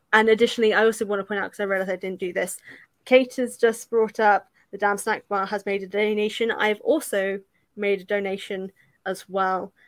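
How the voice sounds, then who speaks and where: At a fairly quick pace, a woman with a British accent speaks in a monotone, flat intonation. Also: medium pitch for a woman. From UK. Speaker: YouTuber hosting a charity watch-along stream. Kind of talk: casual group movie commentary; charity fundraising appeal. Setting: online live stream call.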